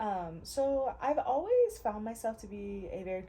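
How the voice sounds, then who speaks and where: A woman's medium-pitched voice in an American accent, with noticeable background noise. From US Midwest, Ohio. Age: 20s. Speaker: artist and content creator. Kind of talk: casual chat while painting. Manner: laid back.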